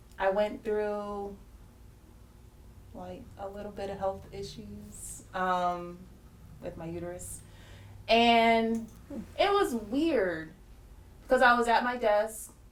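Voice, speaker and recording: Against noticeable background noise and audible room echo, a woman talks at a very slow pace with long, frequent pauses, a medium pitch, ordinary pitch variation and big swings in loudness. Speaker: group discussion participant. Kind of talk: personal testimony. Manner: hesitant, many fillers.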